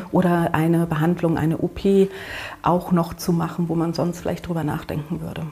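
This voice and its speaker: Over noticeable background noise, a woman speaks at a moderate pace in a monotone, flat intonation with a fairly low pitch. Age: 50s. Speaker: cat-sitting agency owner. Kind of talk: interview.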